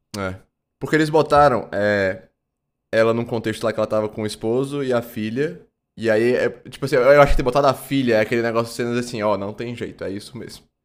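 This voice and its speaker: On a very clean recording with a silent background, a man speaks at a very fast pace and medium pitch, with ordinary pitch variation and big swings in loudness. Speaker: film podcast co-host. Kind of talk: casual chat. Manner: halting.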